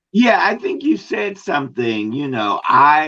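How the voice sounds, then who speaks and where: A man speaks with an American accent at a fairly slow pace. His tone is bright and sharp. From Washington DC. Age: 60s. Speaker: retired pastor and HIV advocate. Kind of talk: interview.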